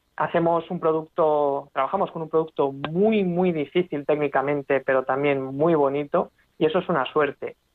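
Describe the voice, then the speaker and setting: A woman talks at a moderate pace with hardly any pauses. Her pitch is very deep and low, and her intonation is fairly even. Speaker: railway engineer. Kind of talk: radio interview.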